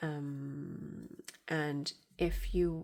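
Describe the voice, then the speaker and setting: Against a silent background on a very clean recording, a woman speaks with a very deep, low pitch. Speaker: crochet tutorial maker. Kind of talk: tutorial. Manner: slow; halting, with fillers.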